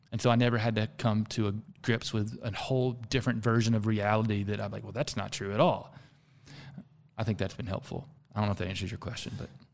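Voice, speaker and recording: A man with a fairly low pitch and vocal fry talks at a very fast pace. His intonation stays fairly even. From US South. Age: 40s. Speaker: executive coach and founder. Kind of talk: casual interview conversation.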